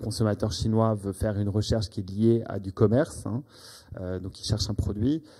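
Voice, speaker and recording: On a very clean recording with a silent background, a man with a fairly low pitch speaks in a dark, mellow tone with fairly even intonation. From United States. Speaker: business executive. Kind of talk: business presentation. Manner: halting.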